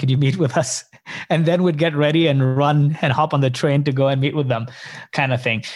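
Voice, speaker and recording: An unremarkable speaking voice from a man, fairly high in pitch, with ordinary pitch variation on a very clean recording with a silent background. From Canada, Indian background. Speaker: startup co-founder. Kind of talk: interview.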